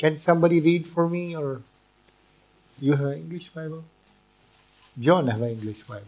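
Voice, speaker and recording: This man's pitch is fairly high. He speaks at a moderate pace. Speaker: visiting preacher. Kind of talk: sermon, interpreted line by line into Dutch. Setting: church with congregation. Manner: earnest, preaching with pauses for translation; audience-engaging, asks for amens.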